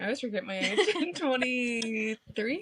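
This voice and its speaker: With an ordinary speaking voice, a woman talks at a fairly slow pace and a fairly high pitch. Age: 20s. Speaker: dairy farmer, social media influencer. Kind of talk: casual interview chat.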